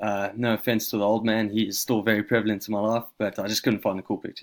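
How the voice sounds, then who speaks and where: Very fast speech with a slight South African accent on a very clean recording with a silent background. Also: man. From South Africa, Johannesburg. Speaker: university student. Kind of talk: self-introduction presentation. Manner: casual, with fillers.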